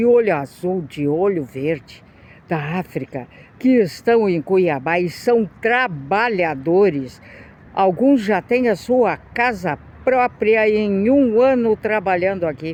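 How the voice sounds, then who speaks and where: Very wide pitch swings mark this woman's speech, delivered at a very slow pace. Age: 60s. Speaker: video blogger. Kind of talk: opinion monologue.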